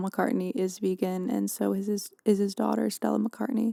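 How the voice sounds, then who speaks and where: A woman talks at a moderate pace in a dry, close sound with no echo. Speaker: podcast host. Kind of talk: podcast monologue. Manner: whispered; soft-spoken.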